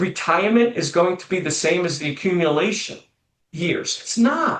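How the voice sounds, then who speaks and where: Lively intonation runs through this man's speech. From New England. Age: 60s. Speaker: financial planner. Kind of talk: podcast interview.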